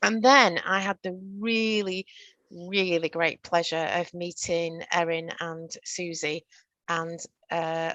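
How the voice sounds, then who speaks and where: In a northern English accent, a woman with a fairly low pitch and a bright, sharp tone speaks very slowly with fairly even intonation against a quiet background. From northern England. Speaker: workplace training presenter. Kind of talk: virtual training presentation.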